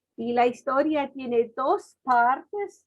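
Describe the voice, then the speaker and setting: A woman with a German accent speaks at a high pitch. Her pace is very slow. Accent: German accent in Spanish, clearly noticeable. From Germany. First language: German (speaking Spanish). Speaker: missionary. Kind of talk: testimony.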